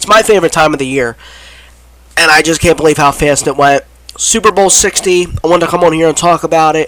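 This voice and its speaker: Against noticeable background noise, a man speaks very fast with an American accent. His pitch varies in an ordinary way. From Philadelphia area, US. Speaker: sports YouTuber. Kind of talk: casual sports commentary vlog. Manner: rambling with repeated stutters.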